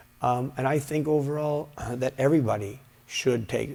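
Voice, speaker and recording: This is a man speaking. His pace is moderate. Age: 60s. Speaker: karate instructor and former professional fighter. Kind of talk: interview. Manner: halting, many fillers and repeats.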